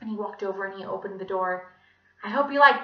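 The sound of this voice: Here we hear an unforced reading voice.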